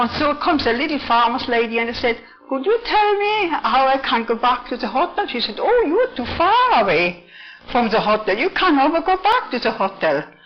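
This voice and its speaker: Over noticeable background noise, a woman speaks at a moderate pace, her high pitch swinging very widely. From Switzerland. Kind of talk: spoken testimony. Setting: church office.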